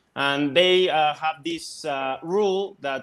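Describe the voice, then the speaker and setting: With a Mexican accent, a man talks in a fairly high pitch on a very clean recording with a silent background. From Mexico. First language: Spanish. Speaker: Mexican football specialist. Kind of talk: casual chat. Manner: halting.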